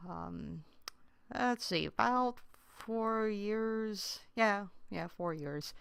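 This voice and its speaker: Recorded very cleanly against total silence, a woman's voice comes through. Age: 40s. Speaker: let's play gamer. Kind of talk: gameplay commentary. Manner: hesitant, many fillers.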